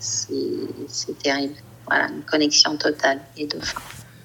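A woman speaks in a very deep, low register against noticeable background noise. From Cameroon. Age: 40s. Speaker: fashion designer and LGBT activist. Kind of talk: interview.

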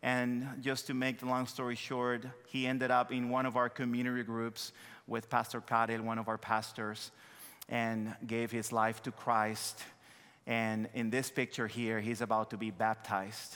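The man's tone is bright and sharp, yet his intonation stays monotone and flat. The recording is very clean, with a silent background. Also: medium pitch for a man, moderate pace. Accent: Dominican. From Dominican Republic. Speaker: missionary pastor. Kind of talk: sermon. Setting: church.

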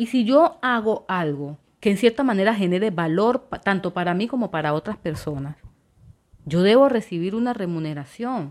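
Her pitch swings very widely around a medium level. The woman keeps a moderate pace. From Colombia, Quibdó, Chocó. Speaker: podcast host. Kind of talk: solo monologue podcast.

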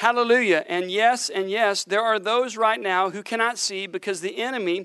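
The delivery has an animated tone and a moderate pace over a quiet background. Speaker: preacher. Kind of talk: sermon. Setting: church with congregation. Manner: animated, fervent preaching with prophetic pronouncements.

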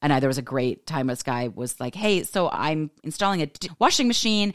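A woman with a Californian accent speaks very fast in an animated tone, her very deep, low voice swinging widely in pitch, on a very clean recording with a silent background. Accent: Californian American English. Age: 40s. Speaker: life coach. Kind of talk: casual monologue podcast. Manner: fast talker.

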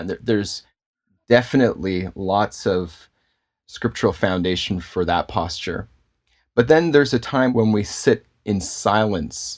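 In a Canadian accent, a man talks at a fairly slow pace with a fairly low pitch and ordinary pitch variation, on a very clean recording with a silent background. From Canada, Toronto. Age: adult, father. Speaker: pastor and filmmaker. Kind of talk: casual interview.

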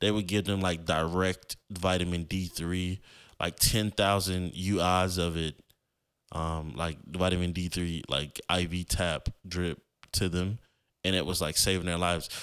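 A man's very deep, low pitch at a fairly slow pace, with monotone, flat intonation, on a very clean recording with a silent background. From Florida. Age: 20s. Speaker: podcast host. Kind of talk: casual monologue. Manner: casual, filler-heavy.

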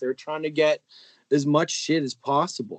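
Recorded with a dry, close sound and no echo, a man speaks in an unremarkable speaking voice at a fairly high pitch and fairly quick pace. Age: 30s. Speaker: electronic music producer. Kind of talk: casual chat.

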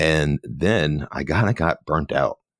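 On a very clean recording with a silent background, a man with an American accent speaks at a very slow pace with a very deep, low pitch and vocal fry, in a dry, close sound with no echo. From Philadelphia. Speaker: photographer and former TV news reporter. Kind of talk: casual interview chat.

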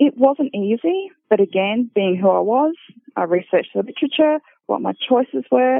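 A woman with an Australian accent speaks at a moderate pace. Her pitch swings very widely. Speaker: paramedic and academic. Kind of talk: personal testimony.

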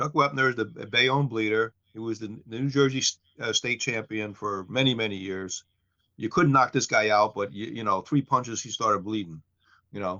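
An unremarkable speaking voice from a man with an American accent, medium in pitch. He talks at a fairly quick pace. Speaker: podcast co-host. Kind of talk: casual banter, livestream chat. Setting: live stream, online. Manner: joking, easygoing.

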